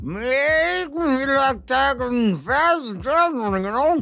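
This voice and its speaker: A put-on character voice mumbles at a high pitch. The pace is very slow. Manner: mouth full, mumbling.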